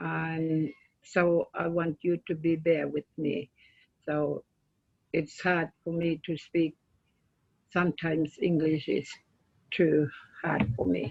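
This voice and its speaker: A woman with a northern Australian accent, her pitch very deep and low, at a very slow pace with fairly even intonation and long, frequent pauses. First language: Yolngu language. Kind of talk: presentation. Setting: video call.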